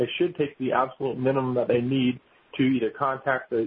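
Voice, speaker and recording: In a normal speaking voice, a man talks at a fairly quick pace and a medium pitch. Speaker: webinar moderator and panelist. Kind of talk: webinar discussion.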